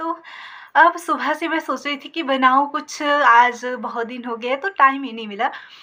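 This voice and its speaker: A woman's high, bright, sharp voice is raised and projected with ordinary pitch variation, recorded very cleanly against a silent background. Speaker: village vlogger. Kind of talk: casual vlog talk to camera. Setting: sitting in her shop. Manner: hesitant fillers.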